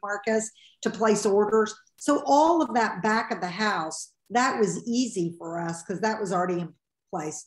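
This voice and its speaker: Music plays in the background as a woman speaks at a moderate pace. Room echo is audible. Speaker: podcast guest. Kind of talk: interview answer. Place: home room. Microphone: video call.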